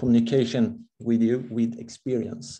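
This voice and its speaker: Vocal fry marks this man's medium-pitched voice, which moves at a very slow pace with ordinary pitch variation. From Sweden. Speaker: crypto community member. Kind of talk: casual group discussion. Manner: halting, many fillers.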